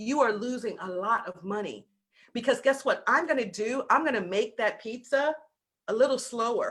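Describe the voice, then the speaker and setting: With a slight Southern US accent, a woman talks in an animated tone at a moderate pace, high in pitch with ordinary pitch variation. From US South. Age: 50s. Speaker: business coach. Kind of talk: masterclass talk. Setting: video call.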